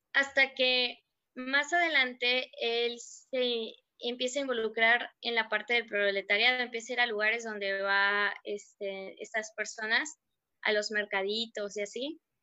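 A woman's fairly high, bright, sharp voice with fairly even intonation at a fairly slow pace, over a quiet background. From Mexico, Mérida (Yucatán). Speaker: book discussion panelist. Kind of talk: casual book discussion.

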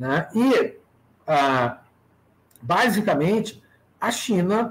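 A man talks with very wide pitch swings. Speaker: university professor. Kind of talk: casual interview on a live stream. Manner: hesitant, with frequent filler and repetitions.

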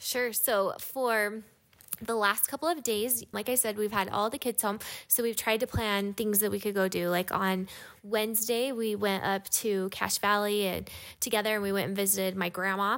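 In an ordinary speaking voice, a woman of medium pitch talks at a moderate pace with fairly even intonation. Her loudness stays very even on a very clean recording with a silent background. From Utah. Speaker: mother of eleven, podcast co-host. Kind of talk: casual chat.

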